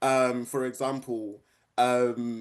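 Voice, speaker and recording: A man with monotone, flat intonation. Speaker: environmental justice activist. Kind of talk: online panel conversation. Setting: online event.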